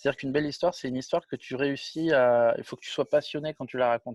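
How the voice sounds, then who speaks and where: Talking at a very fast pace with fairly even intonation, a man speaks in a fairly high pitch, the sound dry and close with no echo. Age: 40s. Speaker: film director and producer. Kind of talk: interview. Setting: video call. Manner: casual, with many hesitations.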